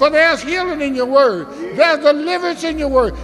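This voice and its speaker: A man speaks at an extremely high pitch. There is noticeable background noise. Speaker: church member leading prayer. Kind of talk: prayer. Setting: church. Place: church. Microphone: podium.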